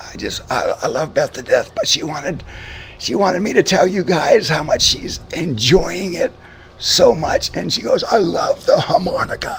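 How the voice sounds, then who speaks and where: A man speaks with an American accent at a moderate pace. Noticeable background noise runs behind him. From Boston area, Massachusetts. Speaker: radio show host. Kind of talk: casual chat.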